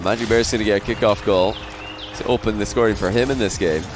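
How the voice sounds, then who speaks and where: An animated man with a Scottish accent and a fairly low pitch, music playing in the background. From Scotland. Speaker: esports caster. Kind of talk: live commentary.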